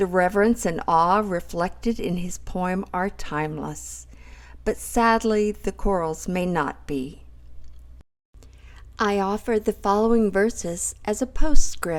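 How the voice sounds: Speaking at a slow pace, a woman uses a medium pitch with ordinary pitch variation.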